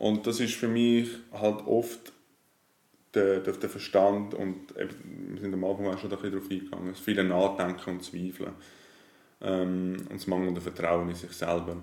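A man talks fairly slowly in a very deep, low voice with a dark, mellow tone. His intonation stays fairly even. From Switzerland, Zurich area. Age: 30s. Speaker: life coach. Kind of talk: casual interview.

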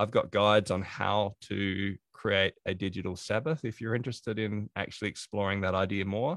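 With an Australian accent, a man of fairly low pitch talks at a moderate pace with fairly even intonation and hardly any pauses. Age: 40s. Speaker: productivity consultant and author. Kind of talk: interview.

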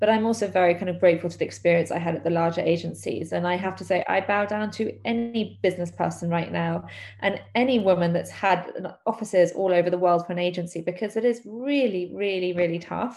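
Speaking at a very fast pace, a woman with a London accent uses a fairly low pitch with ordinary pitch variation. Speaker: PR agency owner. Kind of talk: casual interview.

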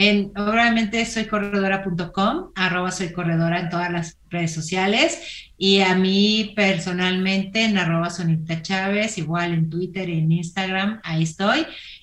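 Fairly slow speech with hardly any pauses, ordinary pitch variation and audible room echo. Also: woman, medium pitch for a woman. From Mexico, Torreón, Coahuila. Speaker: entrepreneur and running platform founder. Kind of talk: interview.

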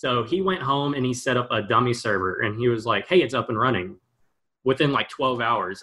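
A bright, sharp tone and lively intonation mark this voice with an American accent. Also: man. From Texas, Houston area. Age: 20s. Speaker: gaming startup founder. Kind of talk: interview.

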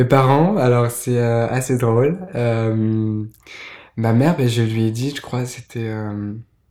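A man speaks at a very slow pace with a dark, mellow tone. His pitch variation is ordinary. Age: 20s. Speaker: podcast guest. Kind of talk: testimony. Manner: soft-spoken; halting.

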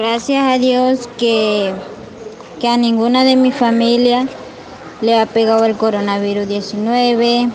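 Over noticeable background noise, a woman with a fairly high pitch speaks at a very slow pace with long, frequent pauses, very even loudness, and monotone, flat intonation. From Venezuela. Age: 20s. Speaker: migrant. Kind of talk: testimony. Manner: halting.

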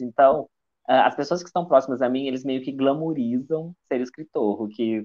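Intonation stays fairly even as a man talks at a medium pitch. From Minas Gerais, Juiz de Fora. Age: 20s. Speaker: writer. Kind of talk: casual interview. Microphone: improvised setup, phone without usual headset.

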